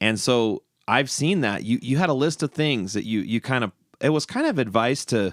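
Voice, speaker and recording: In a normal speaking voice, a man talks at a fairly quick pace with ordinary pitch variation, on a very clean recording with a silent background and dry, close sound with no echo. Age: 40s. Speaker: podcast host and musician. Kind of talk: casual interview chat.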